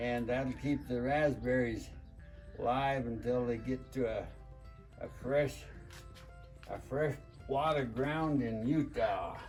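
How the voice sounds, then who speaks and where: A man at medium pitch with monotone, flat intonation, a very slow pace, long and frequent pauses, and music in the background. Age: 80s+. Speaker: farmer. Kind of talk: casual instructional talk to camera.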